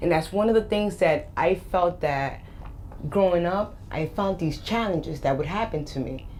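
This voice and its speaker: A woman with an American accent speaks at a moderate pace in a fairly low pitch, with ordinary pitch variation. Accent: slight Boston and Spanish. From Boston, US. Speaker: life coach and motivational speaker. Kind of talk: interview. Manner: animated.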